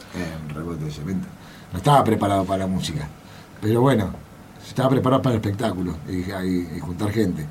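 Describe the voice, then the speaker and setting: Amid noticeable background noise and audible room echo, a man with a very deep, low pitch talks at a very fast pace with ordinary pitch variation and long, frequent pauses. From Buenos Aires, Argentina. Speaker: rock drummer. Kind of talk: interview.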